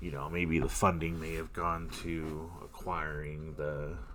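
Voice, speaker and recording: Speaking at a very slow pace, a man uses a very deep, low pitch with fairly even intonation. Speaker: gamer. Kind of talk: gameplay commentary. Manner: casual, rambling.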